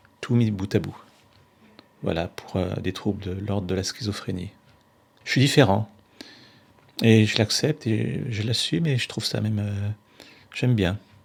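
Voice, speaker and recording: A man's fairly low-pitched voice moves at a moderate pace, its pitch varying in an ordinary way. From France, Roanne. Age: 40s. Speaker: mental health peer group member. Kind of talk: documentary testimony.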